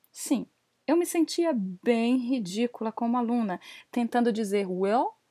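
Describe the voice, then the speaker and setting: A woman's high-pitched, dark, mellow voice at a very slow pace with lively intonation, dry and close with no echo, on a very clean recording with a silent background. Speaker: English teacher and podcast host. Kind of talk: solo podcast monologue.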